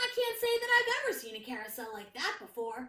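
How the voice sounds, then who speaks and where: A woman's squeaky put-on character voice, extremely high in pitch, at a fairly quick pace. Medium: read story. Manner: easygoing.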